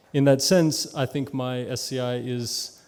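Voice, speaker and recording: This man has an American accent, a medium pitch and fairly even intonation. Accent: American-sounding. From Papua New Guinea (Wapenamanda District). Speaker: peace fellow presenting a community project. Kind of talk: conference presentation.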